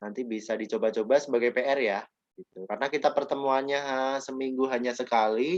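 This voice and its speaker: The man's voice sits at medium pitch with ordinary pitch variation. He talks at a very fast pace. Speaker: teacher. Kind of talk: online class lecture. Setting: video call.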